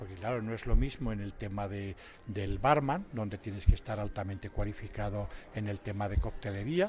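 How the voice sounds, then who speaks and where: Somewhat breathy and fairly low in pitch, a man speaks at a moderate pace with ordinary pitch variation and big swings in loudness. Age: old. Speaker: retired waiter and barista instructor. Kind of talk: interview.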